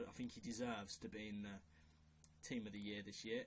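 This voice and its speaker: A man with a strong Brummie accent talks at a fairly quick pace with ordinary pitch variation. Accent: strong Brummie (Birmingham). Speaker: football video maker. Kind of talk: casual commentary on a fantasy team. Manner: casual, hesitant with fillers. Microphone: quiet recording.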